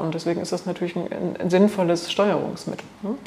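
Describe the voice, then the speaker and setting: Background noise is noticeable here. A woman speaks in a medium pitch. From Thuringia, Germany. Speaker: biologist, botanical garden director. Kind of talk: interview. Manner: hesitant, with fillers.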